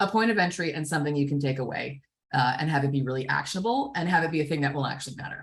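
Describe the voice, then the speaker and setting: Somewhat breathy, a woman talks at a very fast pace. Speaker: fundraising consultant. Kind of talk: workshop presentation. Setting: video call webinar.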